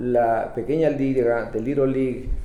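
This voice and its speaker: A man speaks amid noticeable background noise. Audible room echo surrounds his voice. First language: Spanish. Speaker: bilingual community TV interviewer. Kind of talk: interview. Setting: studio.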